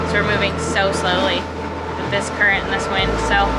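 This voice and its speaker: Loud background noise behind a woman talking at a fairly quick pace. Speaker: sailing vlogger. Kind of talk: casual vlog chat. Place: boat. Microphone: phone near.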